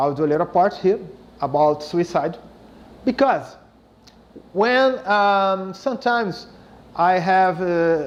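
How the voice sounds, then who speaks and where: Speaking very slowly with long, frequent pauses, a man with a Brazilian Portuguese accent uses a high pitch, lively intonation and very even loudness. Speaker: spiritist speaker, psychologist. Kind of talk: lecture. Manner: halting.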